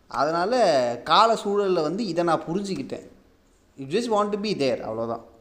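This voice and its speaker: With audible room echo, a man talks in a high pitch that swings very widely. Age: 20s. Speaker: podcast host, aspiring filmmaker. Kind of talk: casual personal monologue.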